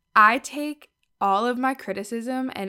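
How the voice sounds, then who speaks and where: In a very clean recording with a silent background, a woman speaks with an American accent. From Wisconsin. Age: 20s. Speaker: podcast host and clothing entrepreneur. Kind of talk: casual solo monologue.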